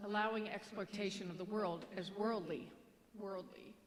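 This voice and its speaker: Audible room echo surrounds a woman who speaks at a fairly high pitch and a fairly slow pace. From Kentucky. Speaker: minister. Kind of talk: sermon. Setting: church. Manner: halting.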